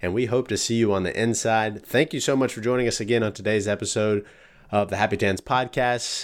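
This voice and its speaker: A man talks fairly quickly in a plain, everyday voice, pitched fairly low, with fairly even intonation. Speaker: podcast host. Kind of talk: interview.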